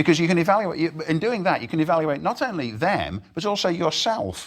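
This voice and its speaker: A man speaks at a fairly quick pace with very wide pitch swings and vocal fry. The recording is very clean with a silent background. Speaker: professor. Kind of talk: lecture. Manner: fast.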